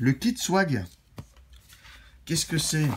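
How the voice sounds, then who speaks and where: With vocal fry and very wide pitch swings, a man speaks at a fairly slow pace. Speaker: vape product reviewer. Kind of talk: product review. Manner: casual, conversational.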